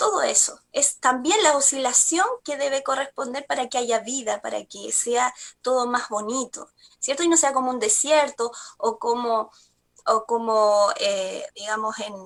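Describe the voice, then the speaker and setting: A woman speaks at a fairly slow pace. Her pitch is high, with ordinary variation. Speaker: spiritual energy therapist. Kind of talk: TV talk show segment. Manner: halting, many fillers.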